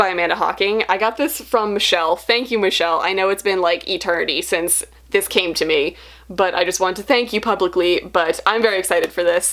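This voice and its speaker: The voice is a woman's. It sits at a medium pitch. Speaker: booktuber. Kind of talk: casual haul video. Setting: home library. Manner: fast.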